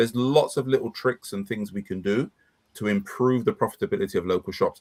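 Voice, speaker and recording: A man speaks with a London accent at a moderate pace. His pitch is medium and his intonation lively. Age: 60s. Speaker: business consultant. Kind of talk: casual chat.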